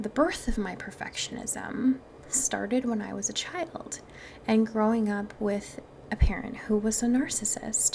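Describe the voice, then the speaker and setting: In a Wisconsin accent, a woman talks fairly slowly at a fairly high pitch with ordinary pitch variation. Noticeable background noise is present. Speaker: mindset and manifestation podcast host. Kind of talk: podcast monologue. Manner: casual, chatty.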